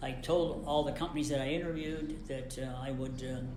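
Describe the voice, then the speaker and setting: Over noticeable background noise and audible room echo, a man with an American accent speaks in a monotone, flat intonation. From western Pennsylvania, McKeesport near Pittsburgh. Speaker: retired engineer, interviewee. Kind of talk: oral history interview. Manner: halting, many fillers.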